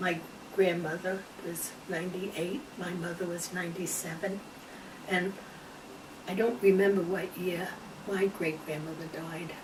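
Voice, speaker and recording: A woman speaks slowly with a fairly low pitch and fairly even intonation, leaving long, frequent pauses. Noticeable background noise and audible room echo fill the recording. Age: 80s+. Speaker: interviewee. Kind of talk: casual chat.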